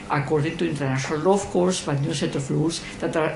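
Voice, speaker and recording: With a Spanish accent, the speaker talks at a fairly quick pace over noticeable background noise. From Chile. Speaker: audience member asking a question. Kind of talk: Q&A question after lecture. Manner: halting, many hesitations.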